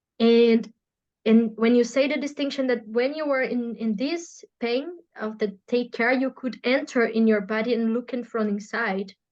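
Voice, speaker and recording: In a Portuguese accent, the speaker keeps a moderate pace and fairly even intonation. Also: woman, fairly high pitch for a woman. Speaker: podcast host and therapeutic practitioner. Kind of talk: casual interview conversation. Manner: halting, with frequent repetitions.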